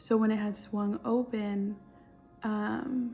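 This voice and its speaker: A woman whispering quietly in an American accent, with music in the background. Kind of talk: testimony. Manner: casual, hesitant with fillers.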